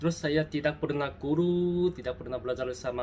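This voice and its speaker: With a Korean accent, a man speaks at a medium pitch with ordinary pitch variation. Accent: Korean accent in Indonesian. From South Korea. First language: Korean (speaking Indonesian). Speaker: travel vlogger. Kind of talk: casual vlog talk to camera. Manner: halting, self-correcting.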